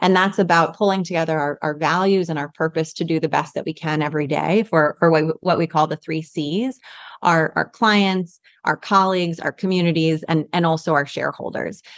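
A woman with an American accent and a normal speaking voice talks at a fairly quick pace in a fairly low pitch with fairly even intonation, the sound dry and close with no echo and the background quiet. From New York City. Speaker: bank sustainability executive. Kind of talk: interview.

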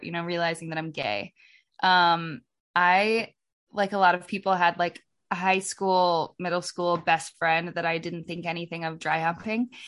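Against a quiet background, a woman speaks at a moderate pace with fairly low pitch. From US, Oregon. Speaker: singer and actor. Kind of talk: podcast interview, casual chat.

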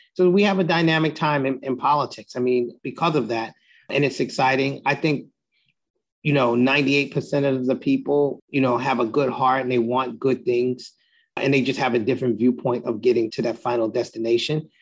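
Against a quiet background, a man with a New York accent speaks at a medium pitch with fairly even intonation. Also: moderate pace. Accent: New York City. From Jamaica, Queens, New York City. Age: 50s. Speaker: political consultant and lobbyist. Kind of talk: interview.

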